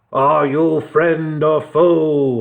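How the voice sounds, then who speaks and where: A man's put-on character voice, fairly high in pitch, with monotone, flat intonation. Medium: read story. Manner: stiff, formal.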